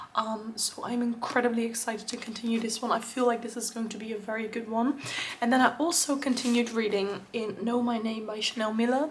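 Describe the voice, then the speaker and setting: A woman talks at a fairly quick pace in a monotone, flat intonation over noticeable background noise. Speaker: booktuber. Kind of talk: casual talk to camera.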